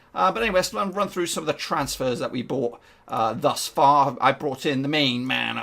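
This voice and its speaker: With an English accent, a man talks at a fairly quick pace. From England. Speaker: gaming YouTuber. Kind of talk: video game commentary. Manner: casual, hesitant with fillers.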